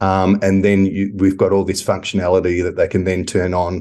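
Against a quiet background, a man with an Australian accent speaks at a fairly quick pace in a fairly low voice. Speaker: property tech company founder. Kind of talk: interview.

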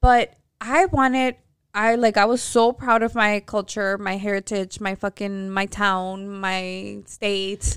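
A woman speaks at a very slow pace, her pitch in the middle range. Her intonation stays fairly even, and the sound is dry and close with no echo. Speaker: podcast co-host. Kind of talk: casual chat. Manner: proper-sounding when speaking Spanish.

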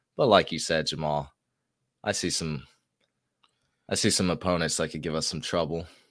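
On a very clean recording with a silent background, a man talks with vocal fry at a very deep, low pitch. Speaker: sports podcast co-host. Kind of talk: casual chat.

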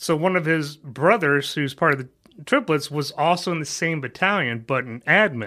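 On a very clean recording with a silent background, a man speaks with lively intonation and hardly any pauses, his fairly high voice bright and sharp in tone. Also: moderate pace. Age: 40s. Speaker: insurance agent and army veteran. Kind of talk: interview.

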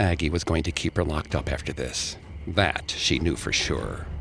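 With a very deep, low pitch and vocal fry, a man speaks at a moderate pace. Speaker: podcast host narrator. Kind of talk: scripted true-crime horror narration, told as a dramatized ghost story. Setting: studio. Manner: dramatic, measured storyteller delivery.

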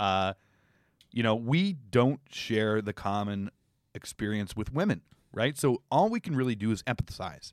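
Here is a man with an unremarkable speaking voice at a medium pitch. The very clean recording has a silent background and a dry, close sound with no echo. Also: ordinary pitch variation, fairly slow pace. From Toronto, Canada. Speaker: comedy podcast co-host. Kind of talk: casual chat. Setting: studio.

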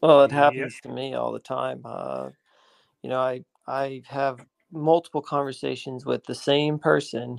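The voice moves at a fairly slow pace with big swings in loudness, in a dry, close sound with no echo. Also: man. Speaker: YouTuber. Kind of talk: casual chat. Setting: video call.

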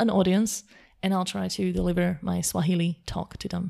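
Against a silent background on a very clean recording, a woman speaks at a medium pitch in a dark, mellow tone. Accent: Slovak. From Slovakia. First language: Slovak. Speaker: language coach. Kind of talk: interview.

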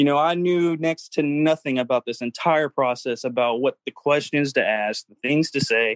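Over a quiet background, a plain, everyday voice speaks at a moderate pace, the sound dry and close with no echo. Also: man. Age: 20s. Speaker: franchise owner. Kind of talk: interview.

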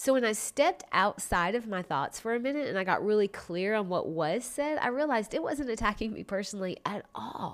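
A woman's fairly high voice at a moderate pace with very wide pitch swings, on a very clean recording with a silent background. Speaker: wellness podcast host. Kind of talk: solo podcast monologue. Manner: casual, chatty.

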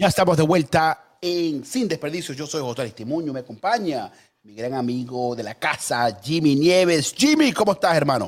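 At a moderate pace with hardly any pauses, a man with a fairly high pitch speaks in an animated tone, with lively intonation and big swings in loudness. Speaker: political commentator. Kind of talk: political debate show.

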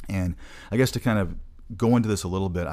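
A man with a very deep, low pitch and vocal fry talks at a very fast pace. The recording is very clean, the background silent. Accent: American. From US Midwest, Michigan. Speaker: podcast host, travel healthcare staffing recruiter. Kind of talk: casual podcast monologue. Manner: fast talker.

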